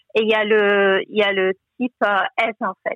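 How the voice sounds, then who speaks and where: Flat, monotone intonation in a woman's voice of medium pitch. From Togo. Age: 30s. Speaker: financial adviser and online bookshop founder. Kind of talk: interview testimony. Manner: hesitant, many fillers.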